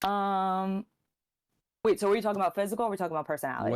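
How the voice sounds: With a New York accent, a woman speaks at a very fast pace, her pitch medium and its variation ordinary. The recording is very clean, with a silent background and a dry, close sound with no echo.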